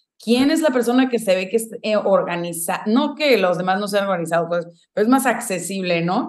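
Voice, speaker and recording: A woman at a moderate pace with lively intonation. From Mexico, Guadalajara. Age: 20s. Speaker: venture capital associate. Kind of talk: interview.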